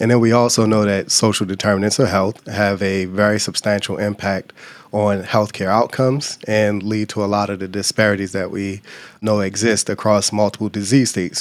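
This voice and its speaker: Monotone and flat, a man with an American accent talks at a fairly low pitch in a very clean recording with a silent background. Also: moderate pace. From Baltimore, Maryland, US. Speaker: urologic oncologist. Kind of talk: interview.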